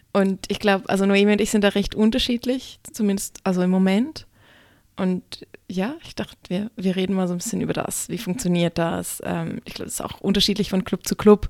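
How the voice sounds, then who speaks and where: A woman with a plain, everyday voice talks at a fairly quick pace and medium pitch, with fairly even intonation and big swings in loudness, in a dry, close sound with no echo. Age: young. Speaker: stripper and burlesque performer, podcast co-host. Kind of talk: casual chat.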